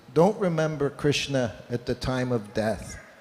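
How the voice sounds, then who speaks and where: Talking fairly slowly, a man lets his pitch move a normal amount over clear background noise. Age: 70s. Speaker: Hare Krishna monk or speaker. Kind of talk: religious talk with storytelling.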